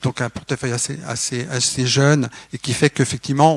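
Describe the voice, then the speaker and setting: A man's monotone, flat delivery at a fairly quick pace, dry with no echo against a quiet background. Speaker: development agency coordinator; panelist. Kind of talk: panel discussion. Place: hall. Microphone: microphone problems at start, switched mic.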